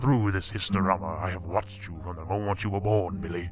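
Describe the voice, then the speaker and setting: Using a put-on character voice, a man speaks in a solemn tone at a very deep, low pitch and a fairly quick pace over clear background noise. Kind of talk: 1940s radio acting. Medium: audio drama. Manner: solemn, grand.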